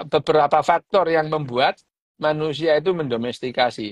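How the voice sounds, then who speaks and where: A man talks at a fairly quick pace in a fairly high pitch. The sound is dry and close, with no echo. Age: 60s. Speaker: neuroscientist doctor discussing a book. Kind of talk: casual book discussion livestream. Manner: halting, with frequent fillers.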